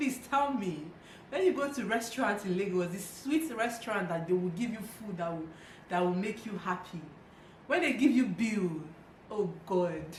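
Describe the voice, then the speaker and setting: A woman talks at a moderate pace with a medium pitch and lively intonation. Noticeable background noise runs underneath. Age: 20s. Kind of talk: casual talk to camera.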